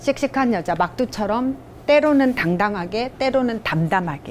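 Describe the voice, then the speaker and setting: A woman with a fairly high voice speaks with lively intonation. Noticeable background noise runs behind her. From South Korea, Gyeongbuk (Daegu). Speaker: lecturer. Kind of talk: lecture with picture-book read-aloud. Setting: public library lecture.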